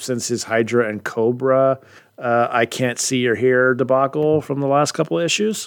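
A natural voice reads the text aloud.

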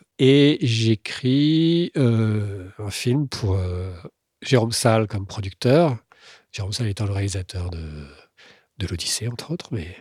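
At a very slow pace with long, frequent pauses, a man of medium pitch speaks in a somewhat breathy voice with lively intonation, in a dry, close sound with no echo on a very clean recording with a silent background. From France, Tours area. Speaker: screenwriter. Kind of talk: casual chat.

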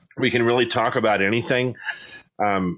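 With an American accent, a man speaks at a moderate pace in a medium pitch. He has a plain, everyday voice. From San Diego, California. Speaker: podcast host. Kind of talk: casual chat.

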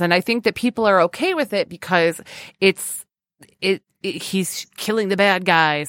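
In an unremarkable speaking voice, a woman talks at a moderate pace and medium pitch, with a dry, close sound, no echo, and a very clean recording over a silent background. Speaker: podcast host. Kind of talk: casual chat.

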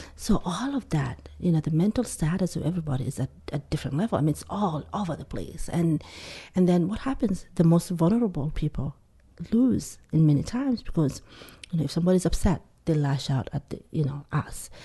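A woman with a Somali accent speaks at a fairly quick pace and a fairly low pitch. Her voice is somewhat breathy, with a dark, mellow tone and lively intonation. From Somalia. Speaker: community organization leader. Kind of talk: interview.

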